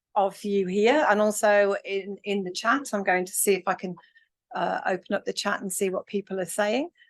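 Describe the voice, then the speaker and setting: A woman with an English accent speaks at a medium pitch, with a dry, close sound and no echo. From England. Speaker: academic workshop convener. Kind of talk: lecture. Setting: hybrid workshop with online chat. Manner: hesitant, many ums.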